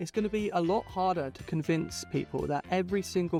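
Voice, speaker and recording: A moderate pace with music in the background. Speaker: video essayist. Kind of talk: video essay narration.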